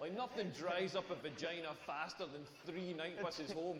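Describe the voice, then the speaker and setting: Someone speaks at a moderate pace with a Scottish accent, with audible room echo and noticeable background noise. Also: man. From rural Scotland. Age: 40s. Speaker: stand-up comedian. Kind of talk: stand-up. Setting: stage with audience. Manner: animated.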